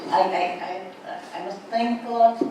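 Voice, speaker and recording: A woman with a Portuguese accent speaks fairly slowly with ordinary pitch variation. Noticeable background noise and audible room echo surround her. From Portugal. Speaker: writer. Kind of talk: seminar talk. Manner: halting.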